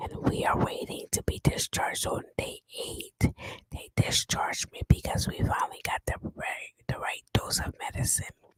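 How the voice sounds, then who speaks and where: A woman whispering at a moderate pace, dry and close with no echo. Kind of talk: ASMR whispered story time. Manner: whispered.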